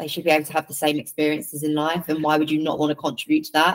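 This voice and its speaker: A woman's very deep, low voice in an English accent, flat and monotone in intonation. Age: 30s. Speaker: football commentator and presenter. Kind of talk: interview.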